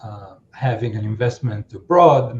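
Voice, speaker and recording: A man speaks with a non-native accent at a medium pitch. His voice is somewhat breathy, with ordinary pitch variation. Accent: foreign. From outside the US. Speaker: accountant. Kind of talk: podcast interview. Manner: halting, many fillers.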